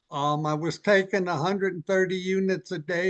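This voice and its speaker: Recorded with a dry, close sound with no echo, a man speaks in a high pitch with ordinary pitch variation. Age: 70s. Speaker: patient. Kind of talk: testimony.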